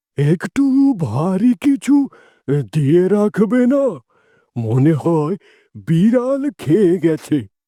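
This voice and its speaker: A man puts on a cartoonish character voice, high-pitched with very wide pitch swings and very even loudness. He goes at a very slow pace, and the sound is dry and close with no echo. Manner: gentle, worried.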